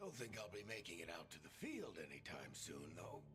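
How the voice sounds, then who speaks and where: A man's put-on character voice, fairly low in pitch, over loud background noise. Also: moderate pace. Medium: video game. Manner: wry, casual, reassuring.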